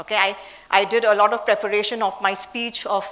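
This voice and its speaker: A woman's very fast, flat monotone over noticeable background noise. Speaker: leadership speaker and CEO. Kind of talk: talk.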